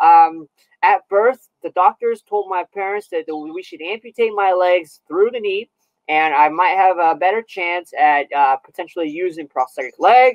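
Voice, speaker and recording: With a Californian accent, the speaker talks at a moderate pace. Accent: General American (Californian). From Southern California. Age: 30s. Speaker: Paralympic athlete. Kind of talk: interview. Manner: halting, many fillers and repeats.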